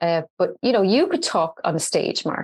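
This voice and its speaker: Intonation is lively in this voice with an Irish accent. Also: woman. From Ireland, Dublin. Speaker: entrepreneur and social media expert. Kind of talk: podcast interview. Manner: animated.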